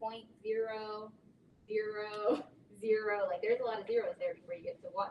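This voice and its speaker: Her pitch is fairly high, and this woman's voice shows ordinary pitch variation. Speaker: chemistry teacher. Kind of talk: lecture.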